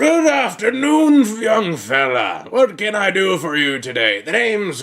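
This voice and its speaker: Doing a put-on character voice, a man speaks high in pitch at a fairly slow pace with very wide pitch swings. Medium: actual play.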